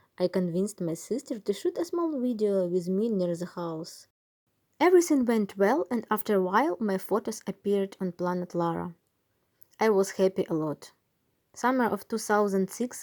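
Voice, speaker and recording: In a Ukrainian accent, the speaker keeps a moderate pace with ordinary pitch variation and a dark, mellow tone. The sound is dry and close with no echo. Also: woman. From Ukraine, Kyiv. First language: Ukrainian or Russian. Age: 30s. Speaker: cosplayer. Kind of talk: scripted narration.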